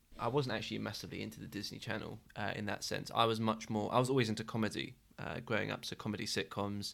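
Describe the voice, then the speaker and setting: A man's fairly low voice with vocal fry, fairly even intonation, a very fast pace and hardly any pauses, on a very clean recording with a silent background. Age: 20s. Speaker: podcast co-host. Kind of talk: casual chat.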